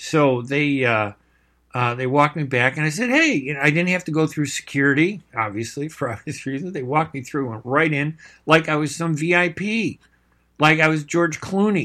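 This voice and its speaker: In a very clean recording with a silent background, a man with a Chicago accent speaks at a moderate pace in a bright, sharp tone, with a fairly high pitch and ordinary pitch variation. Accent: Chicago American English. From US Midwest, Chicago. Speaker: radio host and journalist. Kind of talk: live radio talk show monologue. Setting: radio studio. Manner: casual, filler-heavy speech.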